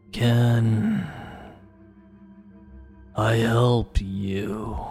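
A booming, put-on character voice over clear music in the background. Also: man, medium pitch for a man. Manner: challenging, looming.

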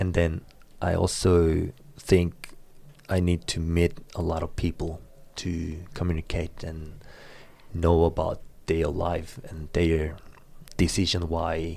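Speaking in a Korean accent, a man with a very deep, low voice and a dark, mellow tone talks at a very slow pace. His intonation is monotone and flat. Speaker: student and baseball coach. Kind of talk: interview.

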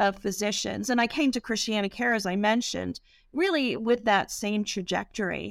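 A woman's fairly high voice with vocal fry, ordinary pitch variation and a moderate pace, on a very clean recording with a silent background. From England. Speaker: hospital system CEO and physician. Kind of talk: interview.

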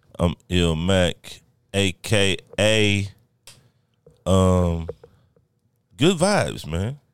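At a very slow pace, a man with a very deep, low pitch speaks with long, frequent pauses. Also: ordinary pitch variation. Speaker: podcast host. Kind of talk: casual chat. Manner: loud.

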